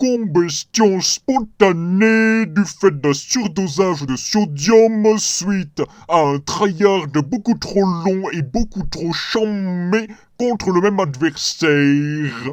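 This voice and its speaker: Putting on a character voice, a man talks very slowly in a high pitch. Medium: actual play.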